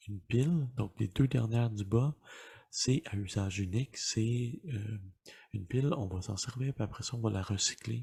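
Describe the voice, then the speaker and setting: Whispering and soft-spoken, a man talks at a fairly slow pace in a somewhat breathy voice. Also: very clean recording, silent background. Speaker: dad-advice YouTuber, ASMR-style. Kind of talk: casual explanatory talk to camera. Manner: soft-spoken, whispered.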